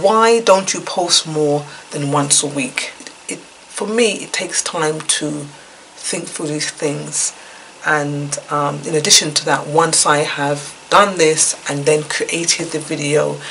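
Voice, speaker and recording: Noticeable background noise sits behind a woman with a very deep, low pitch. She speaks at a very slow pace with ordinary pitch variation. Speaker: YouTube vlogger sharing life experiences. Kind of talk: casual vlog talk to camera. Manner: hesitant with many fillers.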